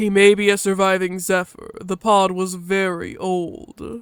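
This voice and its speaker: This put-on character voice sits at a middle pitch. The pace is fairly slow. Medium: read story. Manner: terse, formal, no contractions.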